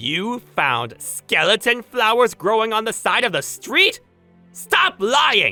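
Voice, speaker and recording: A put-on character voice, fairly high in pitch and fairly slow, over faint music in the background. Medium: dub.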